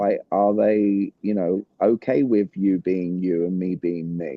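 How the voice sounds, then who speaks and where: A man in a British accent. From Britain. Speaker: communication coach. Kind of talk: interview. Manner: animated.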